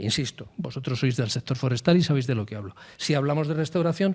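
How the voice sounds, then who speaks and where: Here a man speaks at a fairly quick pace with lively intonation. His fairly high voice is somewhat breathy. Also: very clean recording, silent background. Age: old. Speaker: forest administration official. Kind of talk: panel discussion. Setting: round table with audience. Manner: emphatic.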